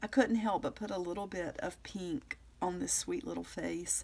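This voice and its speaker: Lively intonation and vocal fry from a woman, on a very clean recording against a silent background. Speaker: craft video creator. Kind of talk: tutorial.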